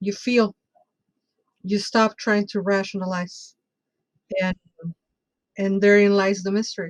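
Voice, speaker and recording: In a dry, close recording with no echo, a woman at medium pitch speaks fairly slowly in a flat monotone, leaving long, frequent pauses. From Mexico City, Mexico. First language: Spanish. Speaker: bruja and tarot reader. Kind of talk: casual interview chat.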